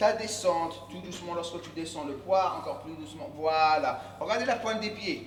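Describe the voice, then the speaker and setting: Audible room echo surrounds a man with an English accent who speaks at a moderate pace in a high pitch with ordinary pitch variation. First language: English (speaking French). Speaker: fitness coach. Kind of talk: workout tutorial. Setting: gym. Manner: hesitant, self-correcting.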